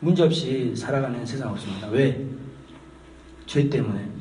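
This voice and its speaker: This man talks at a moderate pace in a medium pitch with ordinary pitch variation. Noticeable background noise and audible room echo surround his voice. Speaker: pastor. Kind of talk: sermon. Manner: conversational, hesitant fillers.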